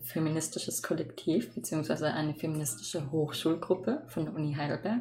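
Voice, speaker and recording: Noticeable background noise sits behind a woman's voice. She has a fairly low pitch and a fairly quick pace. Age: young. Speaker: student podcast host. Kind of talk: casual chat.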